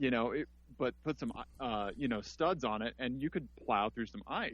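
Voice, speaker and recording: A man with a Missouri accent and vocal fry speaks at a medium pitch with ordinary pitch variation. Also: moderate pace. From US Midwest, Missouri. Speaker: podcast host. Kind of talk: casual chat. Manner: halting.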